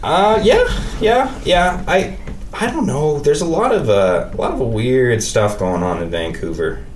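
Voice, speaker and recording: A man with a western Canadian accent talks at a fairly slow pace. Noticeable background noise and audible room echo surround him. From Saskatoon, Saskatchewan, Canada. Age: 20s. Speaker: podcaster. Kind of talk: casual chat. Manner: halting.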